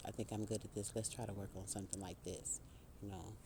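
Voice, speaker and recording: A man's voice carries a dark, mellow tone. It sounds somewhat breathy. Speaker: spiritual speaker. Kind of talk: inspirational monologue. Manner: casual, conversational; halting.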